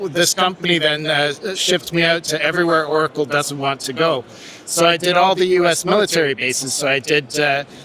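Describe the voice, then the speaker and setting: Through noticeable background noise, a man with a fairly high voice talks at a fairly quick pace with fairly even intonation. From Quebec, Montreal. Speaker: hospitality technology manager. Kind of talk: casual interview. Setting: live at trade show. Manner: halting, many fillers.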